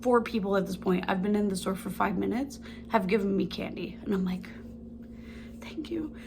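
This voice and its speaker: At a fairly quick pace broken by long, frequent pauses, a woman speaks in an animated tone at medium pitch with ordinary pitch variation, and audible room echo surrounds her voice. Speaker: lifestyle vlogger. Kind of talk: casual chat. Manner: fast.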